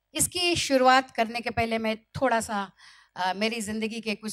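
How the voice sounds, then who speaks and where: A woman's fairly high voice with a Marathi accent on a very clean recording with a silent background. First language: Marathi (speaking Hindi). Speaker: motivational speaker. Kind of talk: motivational speech.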